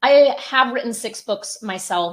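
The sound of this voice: A woman with a fairly high pitch speaks at a moderate pace, her pitch varying in an ordinary way.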